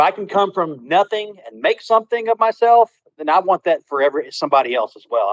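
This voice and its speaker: Talking at a very fast pace, a man has a Southern US accent. The sound is dry and close, without echo. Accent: Southern twang. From Texas. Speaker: contractor, crypto project member. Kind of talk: casual livestream chat. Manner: halting, many repetitions.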